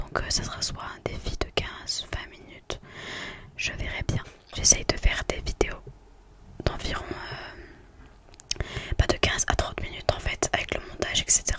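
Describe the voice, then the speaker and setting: A woman whispers at a fairly slow pace, pausing long and often, with noticeable background noise. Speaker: ASMR content creator. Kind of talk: casual talk to camera, ASMR video. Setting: home desk recording with USB microphone.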